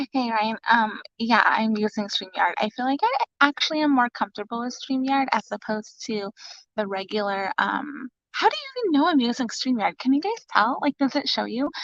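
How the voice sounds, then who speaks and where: Whispering quietly, a woman with an American accent speaks at a moderate pace. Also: dry, close sound with no echo. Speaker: mother livestreaming to viewers. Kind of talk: casual live stream chat. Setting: live stream from home closet. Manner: whispering, very quiet.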